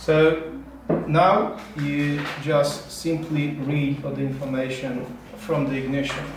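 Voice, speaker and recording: In a Polish accent, a man speaks at a fairly high pitch, very slow, with monotone, flat intonation. Audible room echo and noticeable background noise surround the voice. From Poland. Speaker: automotive security engineer. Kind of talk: technical interview. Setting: company office. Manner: halting, many repetitions. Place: workshop.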